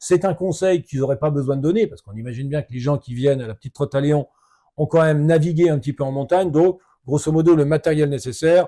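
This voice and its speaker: A man speaks very fast in a dark, mellow tone, pitched fairly high with ordinary pitch variation and big swings in loudness. The sound is dry and close with no echo, in a very clean recording with a silent background. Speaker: ultra-trail runner, adventurer. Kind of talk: podcast conversation.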